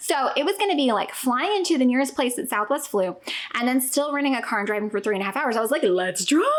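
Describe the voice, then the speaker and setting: Over noticeable background noise, a woman speaks very fast in an animated tone, her high voice swinging very widely in pitch. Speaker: family travel vlogger. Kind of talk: casual vlog chat. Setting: at home.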